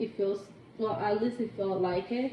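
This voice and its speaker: A woman's fairly high voice in a Spanish accent, over noticeable background noise. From Cuba. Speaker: interviewee, coworker. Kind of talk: casual interview. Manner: hesitant, many fillers.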